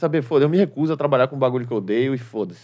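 A man talks, his pitch varying in an ordinary way. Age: 30s. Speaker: stand-up comedian. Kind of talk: casual chat.

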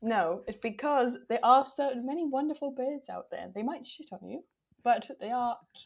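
A woman with a Welsh accent speaks at a moderate pace and high pitch, with ordinary pitch variation and big swings in loudness, on a very clean recording with a silent background. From Wales. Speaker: podcast guest judge. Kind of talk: casual chat.

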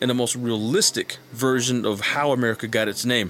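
At a moderate pace, a man speaks with medium pitch in a plain, everyday voice. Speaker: YouTuber and military veteran. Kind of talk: casual monologue.

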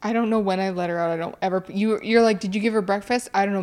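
A woman has a plain, everyday voice. Her intonation stays fairly even. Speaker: podcast co-host. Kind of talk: casual comedic chat. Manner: playful, joking.

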